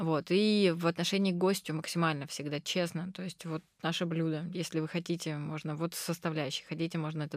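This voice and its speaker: On a very clean recording with a silent background, a woman speaks at a moderate pace with a very deep, low pitch. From southern Russia, Krasnodar. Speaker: restaurant owner. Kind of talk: interview.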